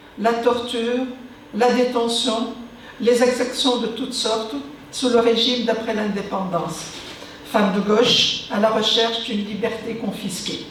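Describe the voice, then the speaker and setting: A fairly high-pitched woman with an Arabic accent speaks at a fairly slow pace in a monotone, flat intonation, with long, frequent pauses, audible room echo and noticeable background noise. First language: Arabic (speaking French). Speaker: author and former activist. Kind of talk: conference talk. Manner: formal.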